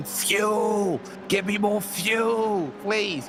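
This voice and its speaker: Over loud background noise, a put-on character voice speaks at a fairly high pitch. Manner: pleading.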